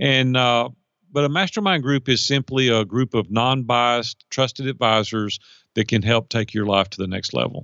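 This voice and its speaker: With a Middle Tennessee accent, a man talks at a moderate pace in a medium pitch with ordinary pitch variation. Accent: US Southern (Middle Tennessee). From Nashville, Tennessee. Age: 50s. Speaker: life and business coach. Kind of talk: interview conversation.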